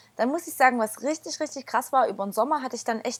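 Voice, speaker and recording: Pitch variation is ordinary while the words come at a very fast pace. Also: woman, dry, close sound with no echo. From Erzgebirge, Saxony, Germany. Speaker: church community member. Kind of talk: casual chat.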